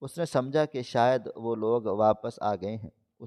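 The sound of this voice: The reading voice is unforced, its pitch varies in an ordinary way, and the background is quiet.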